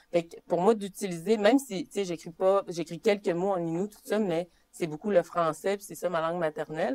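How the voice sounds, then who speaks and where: A woman with a Saguenay–Lac-Saint-Jean accent speaks at a fairly low pitch with ordinary pitch variation. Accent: Quebec French, Saguenay–Lac-Saint-Jean. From Quebec, Saguenay–Lac-Saint-Jean, Innu community (Mashteuiatsh). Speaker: poet. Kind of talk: interview on stage. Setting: public library workshop with audience. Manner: casual, many fillers.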